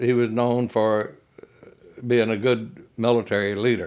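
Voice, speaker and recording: Against a quiet background, a man with a Southern US accent speaks at a medium pitch. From US South, Mississippi. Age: 80s+. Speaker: war veteran. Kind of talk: oral history interview. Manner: halting.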